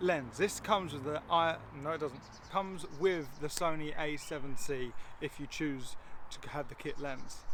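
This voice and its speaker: This man has a normal speaking voice. His pitch sits fairly high, with ordinary variation. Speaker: photography vlogger. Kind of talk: casual tutorial vlog.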